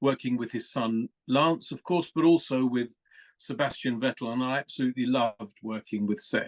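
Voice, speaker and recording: With fairly even intonation and a medium pitch, a man speaks at a moderate pace. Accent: southern English. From England (London). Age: 60s. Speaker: motorsport communications executive. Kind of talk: podcast interview. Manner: hesitant fillers, conversational.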